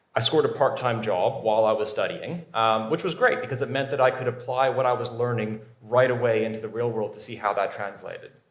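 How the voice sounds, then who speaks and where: A man at medium pitch, fairly quick pace and ordinary pitch variation, with audible room echo. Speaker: cybersecurity professional, conference speaker. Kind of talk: conference talk. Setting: stage with audience.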